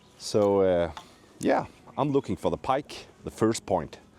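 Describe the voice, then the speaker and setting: A man speaks with a Danish accent. His pace is fairly slow. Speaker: fishing channel host. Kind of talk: casual chat.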